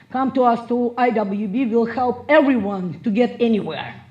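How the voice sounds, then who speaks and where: A woman speaks with fairly high pitch and ordinary pitch variation. Noticeable background noise runs underneath. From Russia. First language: Russian. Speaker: motivational speaker. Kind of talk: motivational speech.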